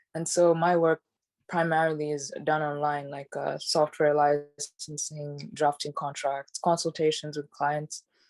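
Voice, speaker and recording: In a dry, close sound with no echo and a quiet background, a woman speaks in a very deep, low pitch with monotone, flat intonation. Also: fairly slow pace. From Uganda. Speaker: tech and startup lawyer. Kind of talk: podcast interview. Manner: hesitant, many fillers.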